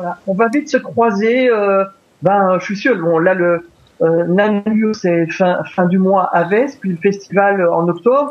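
At a very slow pace, a man talks in a high pitch with ordinary variation. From Belgium. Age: 50s. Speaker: wildlife photographer. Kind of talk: interview.

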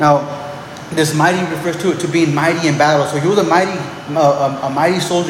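Through noticeable background noise and audible room echo, a man talks very fast in a fairly high, monotone, flat voice. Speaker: pastor. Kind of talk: sermon. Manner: halting, many repeated words.

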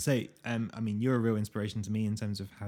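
Speaking at a fairly quick pace, a man uses a fairly low pitch with a dark, mellow tone. His intonation stays fairly even. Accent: British. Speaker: podcast host. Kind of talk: casual interview chat.

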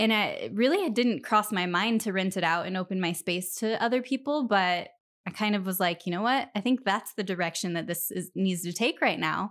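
In a very clean recording with a silent background, a woman with an ordinary speaking voice talks at a medium pitch with ordinary pitch variation in an American accent. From US Pacific Northwest, Spokane Valley, Washington. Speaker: esthetician and business owner. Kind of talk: casual interview.

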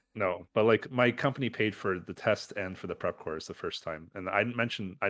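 Recorded with a dry, close sound and no echo, a man speaks in a fairly low voice with a Canadian accent. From Canada. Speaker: podcast co-host. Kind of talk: casual chat.

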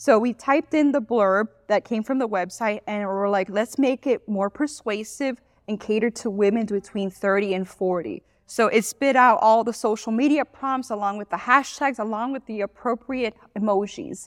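With a Miami accent, a woman speaks at a fairly high pitch with ordinary pitch variation, in a dry, close sound with no echo. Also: quiet background. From Miami, Florida. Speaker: social media business owner. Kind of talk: casual interview. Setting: studio. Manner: fast talker.

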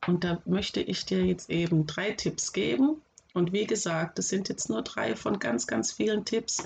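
A woman's fairly low, fairly slow voice with vocal fry, very wide pitch swings and very even loudness. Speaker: podcast host and special-school teacher. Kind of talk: solo podcast advice talk. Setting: home office.

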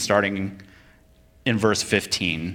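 Audible room echo surrounds a man with an American accent whose pitch variation is ordinary. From Vermont, US. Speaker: preacher and military chaplain. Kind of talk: sermon.

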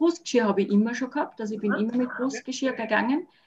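This woman's voice sits fairly high, somewhat breathy, with ordinary pitch variation. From Austria, Salzburg region. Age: 50s. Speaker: dog owner and dog sitter. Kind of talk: casual interview chat.

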